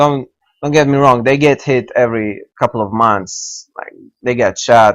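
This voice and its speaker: A man with an Israeli accent at medium pitch, with ordinary pitch variation and a fairly slow pace. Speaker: video game tutorial maker. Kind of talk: tutorial. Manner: halting, many fillers.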